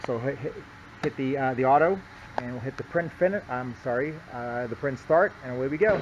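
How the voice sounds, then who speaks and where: Noticeable background noise behind a medium-pitched male voice, ordinary pitch variation, and a moderate pace. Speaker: equipment seller. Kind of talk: product demonstration. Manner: stuttering, hesitant.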